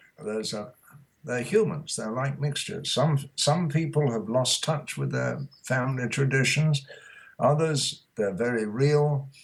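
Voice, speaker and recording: A man speaks with a British accent and a somewhat breathy voice. His pace is fairly slow, with ordinary pitch variation. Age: 80s+. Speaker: author. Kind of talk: interview.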